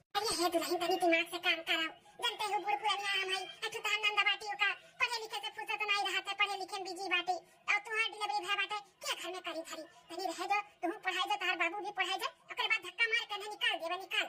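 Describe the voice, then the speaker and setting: Doing a cartoonish character voice, a woman chatters at a very fast pace at an extremely high pitch. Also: fairly even intonation. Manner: commanding, homely.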